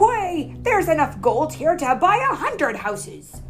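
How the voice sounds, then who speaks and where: A bellowing, put-on character voice moves at a moderate pace over clear background noise. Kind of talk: pirate talk. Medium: read story.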